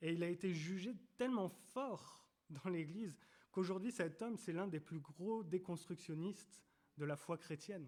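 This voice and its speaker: Fairly slow, high-pitched speech from a man, with ordinary pitch variation. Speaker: preacher. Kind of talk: sermon. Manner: halting, many repetitions.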